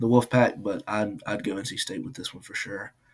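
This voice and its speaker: Here is a man with an unremarkable speaking voice. He keeps a moderate pace and fairly even intonation. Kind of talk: casual game-pick banter. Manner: relaxed, opinionated.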